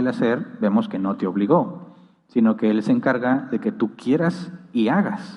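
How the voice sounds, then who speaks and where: The man's voice sits at medium pitch but moves in very wide pitch swings. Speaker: pastor. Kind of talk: Q&A session in a church teaching. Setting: church with live audience and livestream. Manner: fast.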